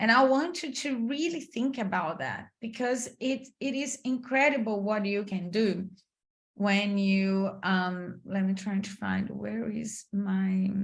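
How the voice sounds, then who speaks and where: Speaking at a very slow pace, a woman sounds somewhat breathy at a medium pitch. Her intonation is lively. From Brazil. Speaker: career coach. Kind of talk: online masterclass. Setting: video call.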